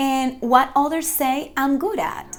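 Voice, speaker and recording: With a Spanish accent, a woman speaks fairly slowly at a high pitch. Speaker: faith-based motivational vlogger. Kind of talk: inspirational talk to camera. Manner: halting, with frequent fillers.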